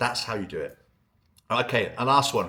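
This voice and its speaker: A man speaks at a fairly quick pace and medium pitch, his tone bright and sharp. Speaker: ecommerce email marketing consultant. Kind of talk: tutorial. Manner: fast; animated.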